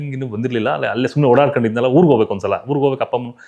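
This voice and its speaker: Ordinary pitch variation runs through this man's dark, mellow tone. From Karnataka, Tumakuru district village. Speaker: makeup artist. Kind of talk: life story interview.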